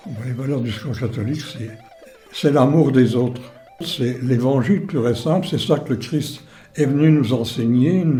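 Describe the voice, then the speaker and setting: With music in the background and audible room echo, a man of medium pitch talks at a fairly slow pace with ordinary pitch variation. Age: 90s. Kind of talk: interview monologue.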